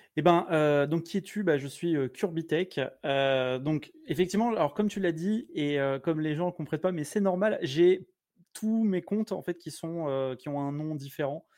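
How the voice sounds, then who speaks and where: Over a quiet background, a man with a high pitch speaks fairly slowly with ordinary pitch variation. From France, Blois (Loir-et-Cher). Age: 40s. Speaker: tech streamer. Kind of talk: casual chat. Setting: live stream.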